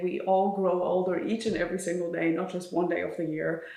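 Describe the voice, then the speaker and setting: Speaking with a German accent, a woman uses a fairly low pitch and fairly even intonation. Her voice carries an audible room echo. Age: 20s. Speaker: vlogger and author. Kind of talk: casual chat.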